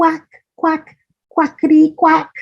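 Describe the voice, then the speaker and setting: This woman uses a put-on character voice that is squeaky and extremely high in pitch. Her intonation stays monotone and flat. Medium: read story. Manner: warm, motherly.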